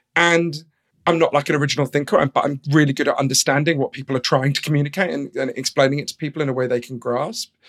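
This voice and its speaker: A man with a London accent talks at a very fast pace in a fairly high voice, with fairly even intonation and a dry, close sound that has no echo. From London, England. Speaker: author. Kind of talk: interview.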